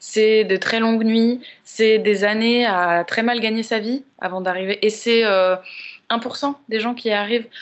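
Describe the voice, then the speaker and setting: Very slow woman's speech, fairly high in pitch, with fairly even intonation. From Paris, France. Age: 30s. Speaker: podcast guest. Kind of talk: casual chat.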